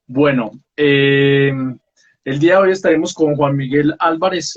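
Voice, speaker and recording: In a normal speaking voice, a man talks fairly slowly at a fairly high pitch, his intonation fairly even. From Colombia, Pereira. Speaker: book talk show host. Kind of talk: casual interview.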